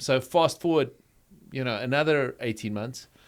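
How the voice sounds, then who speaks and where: On a very clean recording with a silent background, a man with a South African accent shows ordinary pitch variation. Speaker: pastor. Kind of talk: interview conversation.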